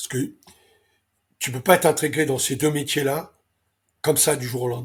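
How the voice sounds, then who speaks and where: A man talks at a fairly high pitch, his voice somewhat breathy. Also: very clean recording, silent background. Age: 70s. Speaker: racehorse owner and breeder. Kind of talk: interview. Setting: interview. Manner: hesitant, many fillers.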